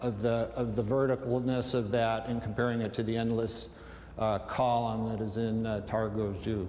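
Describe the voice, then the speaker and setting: A man talks at a moderate pace and medium pitch in a monotone, flat intonation. Noticeable background noise and audible room echo fill the recording. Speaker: sculptor. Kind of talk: interview. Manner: halting, many fillers.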